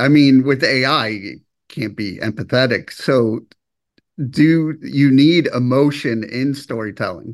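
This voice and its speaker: An ordinary speaking voice from a man at medium pitch, with ordinary pitch variation, a fairly slow pace and a quiet background. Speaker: interviewer. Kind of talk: casual interview.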